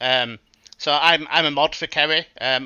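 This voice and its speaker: A man with a Yorkshire accent, fairly high in pitch, at a fairly slow pace and with fairly even intonation. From West Yorkshire, Bradford/Keighley area, northern England. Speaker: podcast guest, chat moderator. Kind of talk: casual chat.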